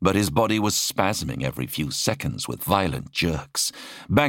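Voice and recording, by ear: The speaker is reading aloud in a natural voice, with intonation that moves in a lively way.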